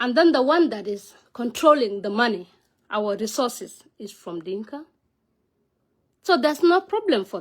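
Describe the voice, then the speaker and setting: A woman speaks at a moderate pace with a high pitch and very wide swings in it. Her loudness rises and falls sharply, broken by long, frequent pauses. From South Sudan. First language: Nuer. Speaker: vlogger, political commentator. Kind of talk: casual monologue vlog on politics. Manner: halting, non-fluent English with fillers.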